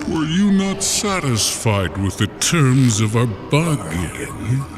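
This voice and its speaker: A man uses a put-on character voice at a medium pitch and a very slow pace. Loud background noise sits behind him. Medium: read story. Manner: cold, formal, menacing.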